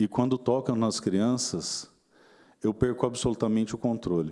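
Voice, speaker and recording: A man's dark, mellow tone unfolds at a fairly slow pace on a very clean recording with a silent background. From Mato Grosso do Sul, Brazil (Dourados). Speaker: politician. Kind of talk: formal speech at a seminar. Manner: formal, measured.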